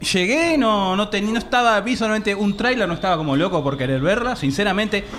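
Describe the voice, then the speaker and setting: A high-pitched man with a Rioplatense accent, very even loudness, lively intonation, a fairly quick pace, hardly any pauses and audible room echo. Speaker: podcast co-host. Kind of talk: live podcast panel chat before audience. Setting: stage with live audience.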